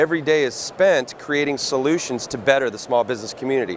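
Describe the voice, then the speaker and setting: Delivered at a very fast pace with ordinary pitch variation, the speech has light background noise. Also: man, dry sound with no echo. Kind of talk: interview answer. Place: studio. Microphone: lapel.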